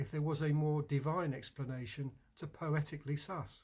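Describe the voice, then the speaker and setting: A man's somewhat breathy voice, fairly high in pitch, at a moderate pace in a very clean recording with a silent background. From England. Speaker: poet. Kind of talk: poetry reading.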